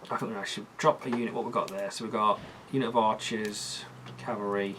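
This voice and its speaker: Fairly quick, fairly even speech in a British accent amid noticeable background noise. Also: man, fairly low pitch for a man. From Britain. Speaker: tabletop wargamer playing a strategy game. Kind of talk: casual gaming chat.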